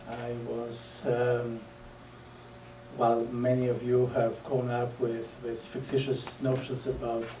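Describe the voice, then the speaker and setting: In a Polish accent, a man speaks at medium pitch with monotone, flat intonation. Audible room echo and noticeable background noise come through. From Poland. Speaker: public speaker. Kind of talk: lecture. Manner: halting, many fillers.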